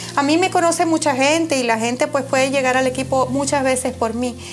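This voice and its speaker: A woman speaks at a high pitch. Noticeable background noise sits behind her. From Venezuela. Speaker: real estate agent. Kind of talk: interview. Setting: her office.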